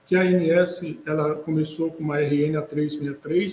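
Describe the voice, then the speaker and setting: A man with a fairly high pitch talks in a monotone, flat intonation. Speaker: lawyer, healthcare management consultant. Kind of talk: webinar presentation. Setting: online webinar. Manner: hesitant, many fillers.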